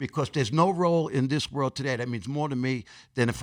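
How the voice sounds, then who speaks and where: A man talks at a very fast pace with a New York accent, a medium pitch and lively intonation. The recording is very clean with a silent background. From New York City, Queens. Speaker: actor and personal trainer. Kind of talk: podcast interview. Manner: casual, conversational.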